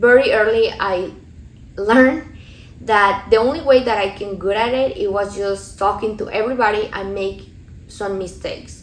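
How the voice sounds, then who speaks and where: Audible room echo surrounds a woman's fairly high voice, her intonation fairly even. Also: moderate pace. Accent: Mexican. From Mexico. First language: Spanish. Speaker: lifestyle vlogger. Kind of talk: vlog voiceover, motivational talk.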